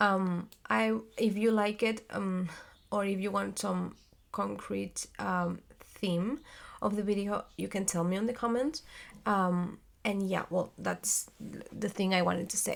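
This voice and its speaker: A woman with a non-native accent speaks at a fairly slow pace on a very clean recording with a silent background. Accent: non-native English accent, self-described. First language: Spanish. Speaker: theater actress and vlogger. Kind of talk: casual vlog monologue. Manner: halting, many fillers and searching for words.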